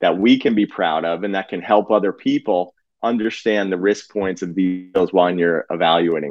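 A man with a New Jersey accent speaks with a fairly low pitch. The sound is dry and close with no echo, against a quiet background. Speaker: physician and real estate investor. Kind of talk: casual interview chat.

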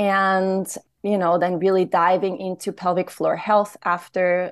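Against a quiet background, a woman speaks at a medium pitch with monotone, flat intonation. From Austria. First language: German. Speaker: womb healer and trainer. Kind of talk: interview.

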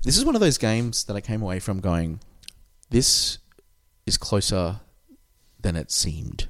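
A man with an Australian accent speaks with long, frequent pauses. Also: moderate pace. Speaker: podcast host. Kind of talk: casual chat. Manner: consciously lowered cadence.

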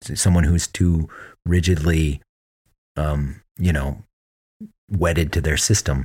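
A man with an American accent speaks in a very deep, low pitch that is somewhat breathy. His pitch varies in an ordinary way, on a very clean recording with a silent background. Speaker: podcast co-host. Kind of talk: casual interview.

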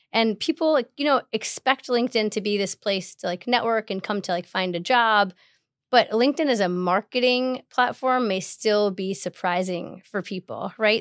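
Recorded very cleanly against a silent background with a dry, close sound and no echo, a woman with an American accent and an unremarkable speaking voice talks at a moderate pace and fairly high pitch with ordinary pitch variation. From Chicago. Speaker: tech company partnerships manager. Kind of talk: podcast interview.

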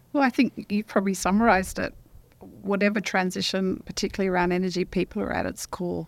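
Talking at a very fast pace in an Australian accent, a woman holds a medium pitch with ordinary pitch variation. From Western Australia. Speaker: professor. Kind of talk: casual chat. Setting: studio.

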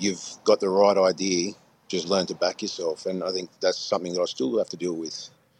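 A man with a very deep, low pitch and an Australian accent, at a moderate pace, dry and close with no echo, over a quiet background. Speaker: guest. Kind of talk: casual chat. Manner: hesitant.

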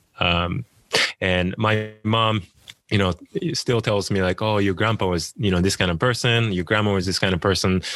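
A speaker with a Japanese accent talks at a moderate pace with ordinary pitch variation. Loudness stays very even over a quiet background. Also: man, fairly low pitch for a man. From Japan, small town near Tokyo. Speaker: author. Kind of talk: interview. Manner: hesitant, many fillers.

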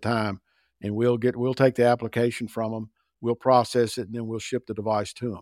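A man talks at a fairly quick pace in a plain, everyday voice of medium pitch. The recording is very clean, with a silent background. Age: 60s. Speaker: sales director. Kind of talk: interview.

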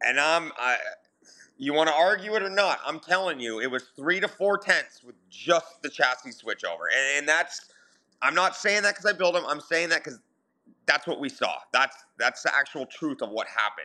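On a very clean recording with a silent background, a man with an Ontario accent speaks at a moderate pace, his high-pitched voice bright and sharp in tone, with lively intonation. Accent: Canadian (Ontario). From southern Ontario, Canada. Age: 40s. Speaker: sprint car driver and chassis builder. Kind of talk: casual interview.

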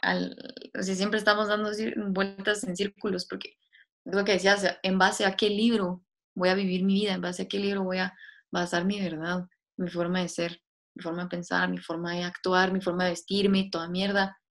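Monotone, flat intonation at a moderate pace. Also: woman, medium pitch for a woman. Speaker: podcast co-host. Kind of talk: casual philosophical chat.

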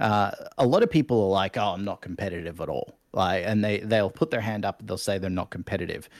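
A man with an Australian accent at a very fast pace and fairly low pitch, in a very clean recording with a silent background. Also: ordinary pitch variation. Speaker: Twitch streamer and martial arts coach. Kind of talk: casual interview chat. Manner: animated.

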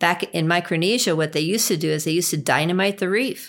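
Speaking with an American accent, a woman has an unremarkable speaking voice at a fairly low pitch. She talks at a fairly quick pace with ordinary pitch variation. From US Northeast, Long Island, New York. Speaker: river trip outfitter and travel booker. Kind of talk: interview.

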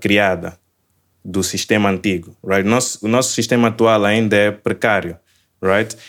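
On a very clean recording with a silent background, a man talks at a fairly slow pace. His pitch is fairly low and his intonation is monotone and flat. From Mozambique (Maputo). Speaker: software engineer. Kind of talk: casual interview chat.

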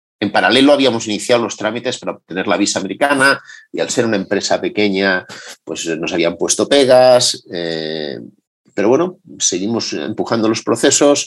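A man speaks at a moderate pace and medium pitch with lively intonation over a quiet background. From Madrid, Spain. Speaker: entrepreneur. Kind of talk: interview testimony.

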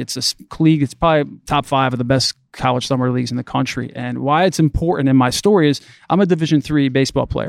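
A man with an American accent speaks at a very fast pace and ordinary pitch variation, recorded very cleanly against a silent background with a dry, close sound with no echo. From Connecticut, US Northeast. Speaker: youth sports coach, former athlete. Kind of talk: casual interview. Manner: animated.

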